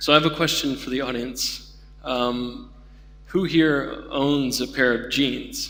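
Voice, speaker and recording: A man with an American accent, a fairly high pitch and fairly even intonation, at a very slow pace. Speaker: keynote speaker, denim industry. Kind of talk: conference keynote talk. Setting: conference stage with audience. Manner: many fillers, halting.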